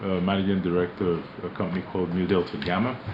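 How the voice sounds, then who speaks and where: Noticeable background noise under a man's very deep, low voice. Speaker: company managing director. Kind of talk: radio interview. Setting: radio studio.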